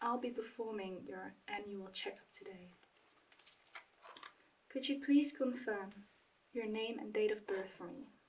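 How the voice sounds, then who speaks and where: In a calm tone, the soft-spoken voice moves at a fairly slow pace with long, frequent pauses. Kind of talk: ASMR medical roleplay, soft-spoken. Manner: soft-spoken, calm, reassuring.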